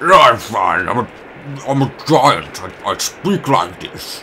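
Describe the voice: The speaker uses a put-on character voice at a very slow pace. Background noise is clearly heard. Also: man, fairly high pitch for a man.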